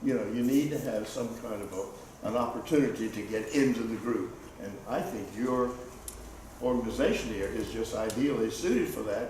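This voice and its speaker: A man talks, his pitch varying in an ordinary way. Noticeable background noise and audible room echo fill the recording. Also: medium pitch for a man, moderate pace. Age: 80s+. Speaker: audience member, lawyer and priest. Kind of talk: audience comment at panel event.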